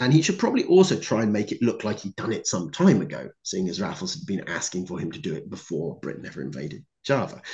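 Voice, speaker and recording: Over a quiet background, a man talks very fast with vocal fry and very wide pitch swings. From Cornwall, England. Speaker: historian and author; conference speaker. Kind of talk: conference talk. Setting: video call. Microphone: video call.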